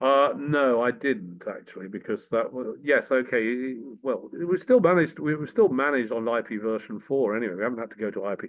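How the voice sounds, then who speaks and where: The speaker has an English accent and moves at a fairly quick pace with ordinary pitch variation. There are hardly any pauses. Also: man, medium pitch for a man. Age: 60s. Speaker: former politician and tech entrepreneur. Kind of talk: casual chat.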